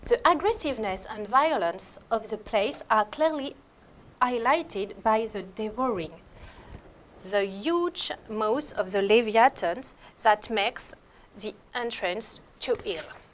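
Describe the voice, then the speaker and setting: At a very slow pace, a woman speaks in a French accent, her fairly high voice carrying lively intonation. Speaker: art historian. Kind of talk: lecture. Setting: lecture hall in an abbey. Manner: halting.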